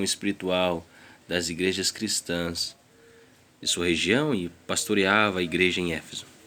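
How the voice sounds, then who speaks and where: A man with a non-native accent. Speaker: Bible reader. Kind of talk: reading aloud.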